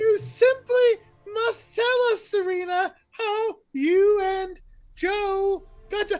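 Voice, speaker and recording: This woman uses a put-on character voice at an extremely high pitch. Her pace is very slow. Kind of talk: affected, formal.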